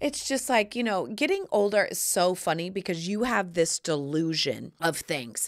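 A woman at a moderate pace with very wide pitch swings against a quiet background. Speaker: podcast host. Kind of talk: casual podcast monologue. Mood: playful, joking. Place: studio. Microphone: studio mic.

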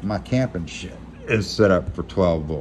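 With an American accent, a man speaks with a very deep, low pitch and very wide pitch swings. Light background noise is audible. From Louisiana, Lake Charles; Louisiana. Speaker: YouTuber, gear reviewer. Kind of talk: casual unboxing vlog. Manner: rambling, hesitant with repeats. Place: home room. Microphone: phone near.

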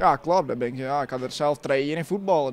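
A man with a fairly high pitch talks at a fairly quick pace. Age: 20s. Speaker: amateur footballer. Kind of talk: post-match interview. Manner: halting. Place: stadium. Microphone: handheld.

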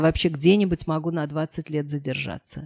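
A woman talks at a moderate pace in a dark, mellow tone. The background is quiet. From Moscow, Russia; Russia. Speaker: historian; guest. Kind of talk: interview talk. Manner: halting. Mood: warm, amused. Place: meeting room. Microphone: podium.

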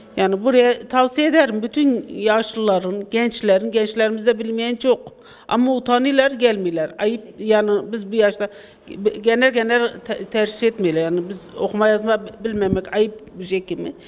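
A woman speaks at a fairly high pitch with ordinary variation in her pitch. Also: fairly slow pace. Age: 60s. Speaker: adult literacy course student. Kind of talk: street interview. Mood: grateful, earnest. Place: classroom. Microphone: handheld.

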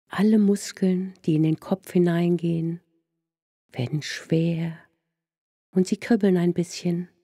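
In a soothing, calm tone, a woman with a fairly low, somewhat breathy voice and a dark, mellow tone speaks at a very slow pace with long, frequent pauses, fairly even intonation and very even loudness, the sound dry and close with no echo. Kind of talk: guided meditation. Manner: soft, slow, soothing, calm and gentle.

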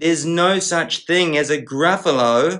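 Against a quiet background, a man talks in an animated, playful tone. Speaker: English teacher reading aloud. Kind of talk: bedtime story reading aloud, rhyming children's book. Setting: video channel, read-aloud to camera. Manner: animated, playful character voices with dramatic pauses; sing-song rhythmic storybook cadence.

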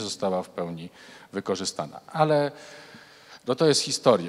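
In a Polish accent, a man talks at a moderate pace with a fairly low pitch. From Poland. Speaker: foundation president, researcher. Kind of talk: panel debate. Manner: formal. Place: hall. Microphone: handheld.

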